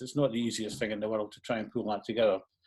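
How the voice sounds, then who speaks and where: A man speaks with a Scottish accent and fairly even intonation. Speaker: transport planning official. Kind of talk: panel presentation. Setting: online event. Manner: unscripted, with many hesitations.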